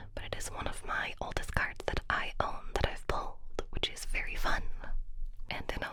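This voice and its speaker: Noticeable background noise fills the recording. Through it, a woman whispers. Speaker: ASMR creator. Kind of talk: ASMR whispered show and tell. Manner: whispered, soft, calming.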